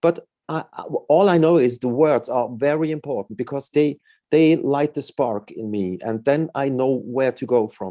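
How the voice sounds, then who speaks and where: At a moderate pace, a voice with a non-native accent, a dark, mellow tone and lively intonation is captured with a dry, close sound and no echo. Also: man. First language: not English. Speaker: musician. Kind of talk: interview. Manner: halting.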